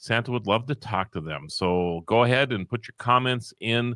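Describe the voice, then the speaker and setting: A man with a slight Upper Midwest accent speaks at a moderate pace and medium pitch, with lively intonation and a bright, sharp tone. The recording is very clean with a silent background and a dry, close sound with no echo. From North Dakota. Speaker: live stream host. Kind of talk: casual chat.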